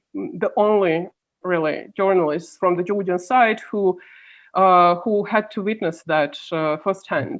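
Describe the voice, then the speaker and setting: A woman with a Russian accent talks at a very slow pace and medium pitch, with ordinary pitch variation. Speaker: policy analyst. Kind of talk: interview.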